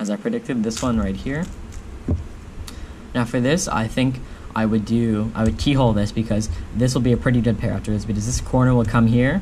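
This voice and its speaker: Talking at a fairly quick pace yet with long, frequent pauses, a man shows ordinary pitch variation over light background noise. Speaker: speedcubing youtuber. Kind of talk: tutorial. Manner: fast; halting. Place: home room.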